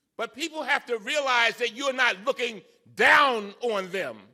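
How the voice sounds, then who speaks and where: A man projects his voice in a passionate, bright and sharp tone. He speaks at a fairly slow pace. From Baltimore, Maryland. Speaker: congressman. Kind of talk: public speech. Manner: fiery, passionate.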